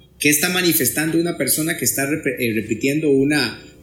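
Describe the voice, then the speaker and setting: A man speaks at a fairly high pitch with ordinary pitch variation while music plays in the background. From Costa Rica, Pérez Zeledón. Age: middle-aged. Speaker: psychologist. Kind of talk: podcast interview.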